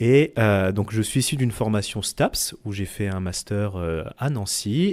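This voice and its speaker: In a very clean recording with a silent background, a man speaks at a fairly low pitch with ordinary pitch variation in an ordinary speaking voice. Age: 30s. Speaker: clinical researcher. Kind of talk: interview.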